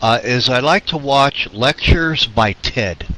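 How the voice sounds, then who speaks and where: There is noticeable background noise. Over it, a man talks in a medium pitch. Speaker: radio show co-host. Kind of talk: casual chat. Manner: halting.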